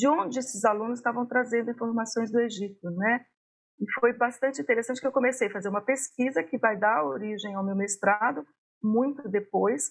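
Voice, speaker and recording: Lively intonation at a moderate pace in a Minas Gerais accent. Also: woman. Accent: Minas Gerais (mineiro) accent, noticeable. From Brazil, Belo Horizonte (Minas Gerais). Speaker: history professor. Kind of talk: interview.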